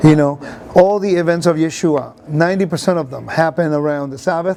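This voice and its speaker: Someone speaks at a fairly quick pace against noticeable background noise. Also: man. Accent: Puerto Rican. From Puerto Rico, raised in the United States. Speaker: Bible teacher. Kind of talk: interview. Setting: conference venue. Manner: animated.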